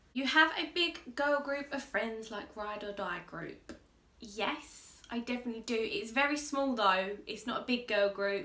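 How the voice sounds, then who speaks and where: Audible room echo and noticeable background noise around very wide pitch swings. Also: woman. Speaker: makeup artist and YouTuber. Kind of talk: casual chat. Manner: loud; bubbly, lively.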